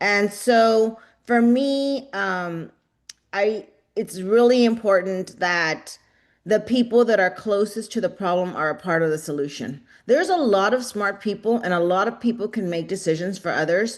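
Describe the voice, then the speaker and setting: Against a quiet background, a woman with an ordinary speaking voice and an American accent talks at a moderate pace and medium pitch, with ordinary pitch variation. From Rio Grande Valley, Texas. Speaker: nonprofit leader. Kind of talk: panel discussion.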